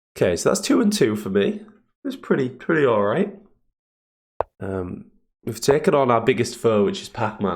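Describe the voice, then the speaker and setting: The voice is somewhat breathy, with very wide pitch swings and long, frequent pauses. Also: man, medium pitch for a man, moderate pace. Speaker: chess streamer. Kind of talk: live commentary. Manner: animated. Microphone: more room echo.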